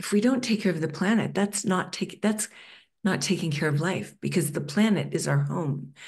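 At a moderate pace, a woman with a fairly low pitch, a slightly mellow tone and vocal fry speaks with ordinary pitch variation.

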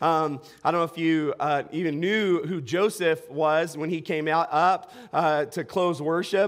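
This man's voice is high in pitch. His pitch variation is ordinary. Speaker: pastor. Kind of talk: sermon. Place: church. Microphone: headset.

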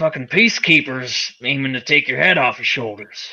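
Putting on a gruff character voice, a man speaks at a medium pitch and a moderate pace with ordinary pitch variation. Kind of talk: western tabletop roleplay. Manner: gruff, cynical, profane.

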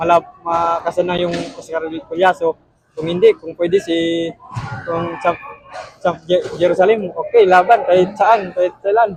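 With noticeable background noise behind him, a man speaks at a moderate pace in a high voice. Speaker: professional boxer. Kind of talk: post-fight interview. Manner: halting, many fillers.

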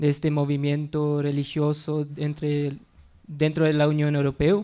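A man speaks in a non-native accent at a fairly high pitch, with a dark, mellow tone and a fairly slow pace. His intonation is monotone and flat, and his loudness stays very even. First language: not Spanish (speaking Spanish). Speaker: researcher and conference speaker; conference speaker. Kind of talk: conference talk. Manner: halting. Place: classroom. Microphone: podium.

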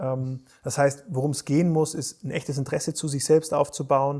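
Against a quiet background, a man with a fairly high pitch speaks at a moderate pace in a monotone, flat intonation, his tone dark and mellow and somewhat breathy. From Bavaria, Germany. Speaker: resilience coach and Olympic rowing champion; resilience coach. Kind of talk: interview conversation. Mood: calm, thoughtful, friendly.

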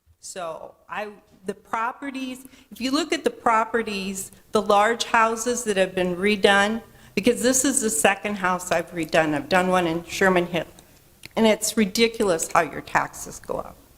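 A woman speaks at a medium pitch and a moderate pace with ordinary pitch variation. Her loudness swings widely, and background noise is noticeable. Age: 60s. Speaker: resident speaking at public hearing. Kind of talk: public comment at meeting.

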